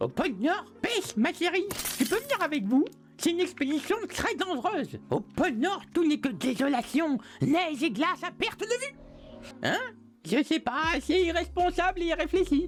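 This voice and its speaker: A man performs in a put-on character voice. He keeps a moderate pace over clear background noise. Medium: fan dub. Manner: whiny, dramatic.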